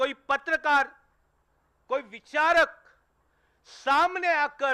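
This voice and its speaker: A raised, projected male voice at extremely high pitch, bright and sharp in tone, with ordinary pitch variation and a dry, close sound with no echo. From Mumbai, Maharashtra. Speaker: journalist, channel editor. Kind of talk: tribute speech.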